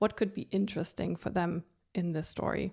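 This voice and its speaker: A woman speaks with a non-native accent in a fairly low pitch. Her tone is dark and mellow, and her intonation is monotone and flat. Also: very clean recording, silent background. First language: not English. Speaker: podcast host. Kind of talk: solo podcast monologue. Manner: conversational, relaxed.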